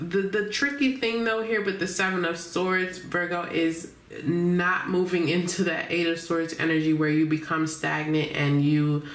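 With audible room echo, a woman talks at a fairly slow pace and a fairly low pitch, keeping very even loudness and ordinary pitch variation. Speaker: tarot reader. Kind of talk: tarot reading commentary. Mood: warm, relaxed, laughs. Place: home room.

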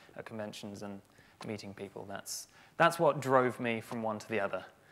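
With a medium pitch and ordinary pitch variation, a man is talking. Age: 20s. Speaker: community manager; conference speaker. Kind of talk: conference talk. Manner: halting. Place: stage.

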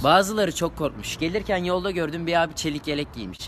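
The voice is raised and projected, moving at a fairly quick pace. Light background noise is present. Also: man. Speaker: comedian playing street interviewee. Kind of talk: comic monologue as interview answer. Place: street. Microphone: phone near.

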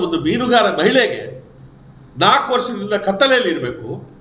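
A man speaks in a high voice. There is noticeable background noise and audible room echo. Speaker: politician. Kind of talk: press conference.

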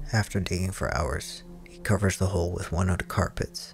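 Fairly slow male speech, with music clearly audible behind it. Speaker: movie recap narrator. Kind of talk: movie recap narration. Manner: whispered, soft. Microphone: studio mic.

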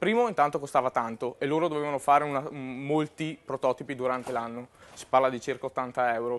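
At a fairly quick pace, a man talks in a fairly high pitch. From Verona, northern Italy; northern Italy. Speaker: web and mobile programmer, conference speaker; conference speaker. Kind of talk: conference talk. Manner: hesitant, with fillers. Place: hall. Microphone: lapel.

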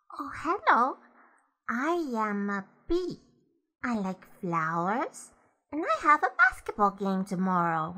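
In a put-on character voice, a female-sounding voice moves at a fairly slow pace with very wide pitch swings and long, frequent pauses. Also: fairly high pitch for a woman. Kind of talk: playful character voice recording. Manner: exaggerated voice-actor delivery. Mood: playful, amused.

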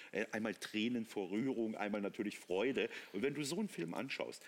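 The speaker has an animated tone and vocal fry, talking at a moderate pace. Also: man. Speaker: technology product expert. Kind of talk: teleshopping product demonstration.

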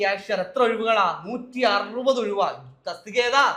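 A man's raised, projected voice in a bright, sharp tone. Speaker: exam coaching teacher. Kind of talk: tutorial. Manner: repetitive.

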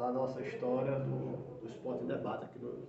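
Over noticeable background noise and audible room echo, a man with a medium pitch speaks at a fairly quick pace. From Brazil, Ceará. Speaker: sports radio presenter. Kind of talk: interview.

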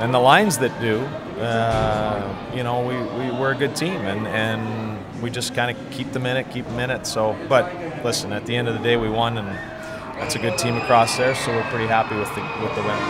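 A man talks at a fairly quick pace. Music plays in the background. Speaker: team coach. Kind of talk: interview answer. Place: hall. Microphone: handheld.

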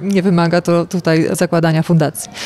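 Female speech at a moderate pace amid clearly audible background noise. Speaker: lawyer. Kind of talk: interview. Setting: outdoor business forum. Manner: explanatory.

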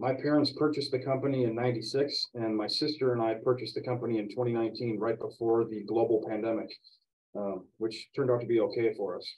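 A man at a fairly quick pace, his intonation fairly even. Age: 40s. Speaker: CEO of a graphics and branding company. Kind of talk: interview. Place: home room. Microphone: video call.

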